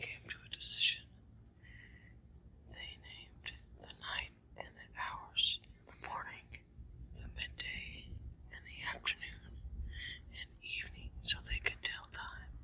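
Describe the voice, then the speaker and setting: The speaker whispers at a fairly slow pace, with long, frequent pauses. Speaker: ASMR creator. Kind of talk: ASMR reading of a mythological poem. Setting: outdoors. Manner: whispered.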